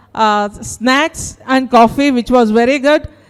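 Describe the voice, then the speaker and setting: A high-pitched woman with a South Indian accent, at a moderate pace with ordinary pitch variation. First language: Kannada. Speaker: teacher. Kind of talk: participant feedback speech. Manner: halting.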